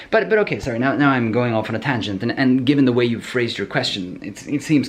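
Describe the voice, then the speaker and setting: Over noticeable background noise, a man at medium pitch speaks at a very fast pace. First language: not English. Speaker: programming educator answering viewer questions. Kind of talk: Q&A video answer, casual monologue. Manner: halting, many repetitions and fillers.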